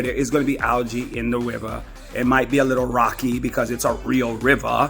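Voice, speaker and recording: Over music in the background, a man talks at a fairly quick pace with an American accent. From US South, Florida. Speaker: travel vlogger. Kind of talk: casual vlog talk to camera.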